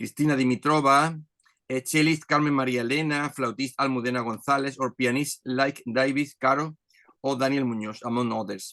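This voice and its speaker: In a Spanish accent, a man with a fairly high pitch and a bright, sharp tone speaks at a moderate pace with fairly even intonation, the sound dry and close with no echo over a quiet background. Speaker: orchestra conductor. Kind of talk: reading aloud. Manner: halting.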